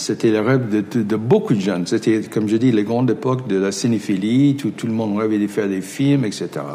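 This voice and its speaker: Over noticeable background noise, a man with an English accent talks at a fairly quick pace in a fairly low pitch with ordinary pitch variation. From United States. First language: English (speaking French). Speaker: film director. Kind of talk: interview. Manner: halting, many repetitions.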